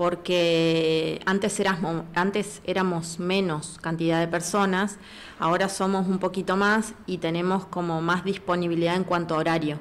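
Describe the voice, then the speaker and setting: A woman talks at a fairly slow pace. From Patagonia, Argentina. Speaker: physiotherapist. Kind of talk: casual interview. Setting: studio. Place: studio. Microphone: studio mic.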